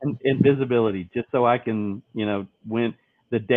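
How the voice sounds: A natural reading voice, ordinary pitch variation, and a quiet background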